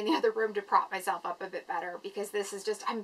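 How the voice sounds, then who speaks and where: Noticeable background noise sits behind a woman of medium pitch with ordinary pitch variation. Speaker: vlogger with chronic illness. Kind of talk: casual vlog. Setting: at home, filming in a room. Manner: halting.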